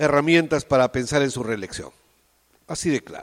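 An unremarkable speaking voice from a man, fairly high in pitch with ordinary pitch variation, in a dry, close sound with no echo. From Peru, Tacna. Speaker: theatre director and teacher. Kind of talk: interview.

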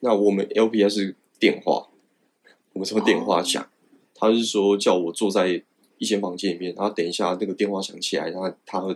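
A man's voice sits fairly low in pitch, moving at a moderate pace. The intonation stays monotone and flat. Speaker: fighter pilot. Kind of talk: interview.

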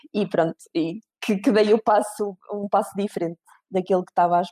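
A woman's dark, mellow voice at medium pitch moves at a moderate pace, and the sound is dry and close with no echo. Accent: European Portuguese. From Portugal, Viseu. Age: 30s. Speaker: recruitment company manager. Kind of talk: interview.

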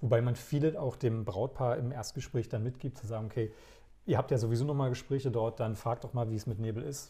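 A man with a dark, mellow tone speaks at a medium pitch and a fairly quick pace, somewhat breathy, with fairly even intonation. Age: 30s. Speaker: wedding DJ. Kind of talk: casual interview. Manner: talkative.

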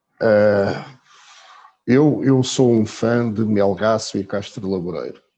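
In a dark, mellow tone, a man with a fairly low pitch talks very slowly and keeps his intonation fairly even. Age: 50s. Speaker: travel blogger. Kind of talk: casual chat. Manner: halting.

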